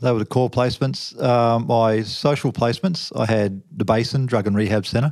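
With an Australian accent, a man talks with hardly any pauses, very even loudness and ordinary pitch variation. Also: medium pitch for a man, moderate pace. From Western Australia, Fremantle. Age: 50s. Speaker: officer and former deep sea trawler. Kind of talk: interview testimony.

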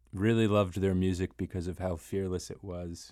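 On a very clean recording with a silent background, a man speaks in a very deep, low pitch with a dark, mellow tone and a monotone, flat intonation. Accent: American. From Maryland, Rockville. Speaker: musician. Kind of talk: casual chat. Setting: studio. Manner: halting.

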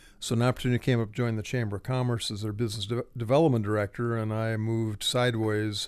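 A man with an American accent, medium pitch and monotone, flat intonation, at a fairly quick pace over a quiet background. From Ohio, between Akron and Cleveland. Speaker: retired nonprofit director and writer. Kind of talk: interview. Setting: studio.

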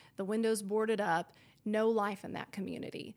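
This is a woman's voice. Her pitch sits fairly high. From Oklahoma (El Reno). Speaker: news reporter and anchor, hunter. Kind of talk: casual interview chat.

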